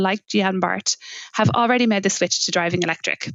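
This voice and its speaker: A woman with a Limerick accent at a very fast pace, medium pitch and ordinary pitch variation, music in the background. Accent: Irish, Limerick. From Ireland, Limerick. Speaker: podcast host. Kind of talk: podcast interview.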